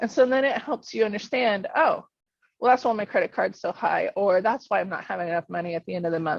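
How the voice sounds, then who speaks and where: Her voice medium in pitch with ordinary variation, a woman speaks at a fairly quick pace. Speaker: financial coach. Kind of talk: workshop presentation. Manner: fast.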